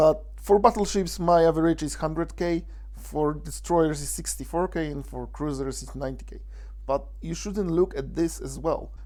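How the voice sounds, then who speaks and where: A man with a Polish accent at a moderate pace. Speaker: gaming video creator. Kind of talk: tutorial. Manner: halting.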